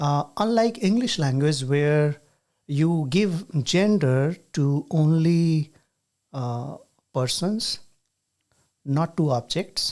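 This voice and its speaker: Very slow speech in an Indian accent, with long, frequent pauses. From rural India. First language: Hindi. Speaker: podcast host and university teacher. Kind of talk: casual chat.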